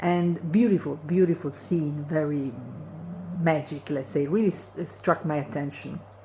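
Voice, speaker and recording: Her pitch is very deep and low. This woman sounds somewhat breathy. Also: ordinary pitch variation, fairly slow pace. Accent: non-native. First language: not English. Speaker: video blogger. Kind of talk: casual monologue commentary. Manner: hesitant, many fillers.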